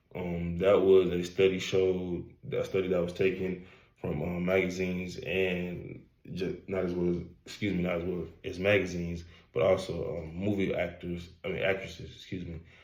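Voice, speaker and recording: The speech has a monotone, flat intonation, with audible room echo around it. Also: man, very deep, low pitch for a man, moderate pace. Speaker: college student. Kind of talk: class presentation. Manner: halting, many fillers.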